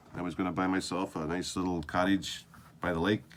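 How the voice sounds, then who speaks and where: A man talks at a moderate pace with a Canadian accent. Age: 60s. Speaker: video diarist, former army sergeant. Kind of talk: video diary monologue. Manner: halting, with many fillers.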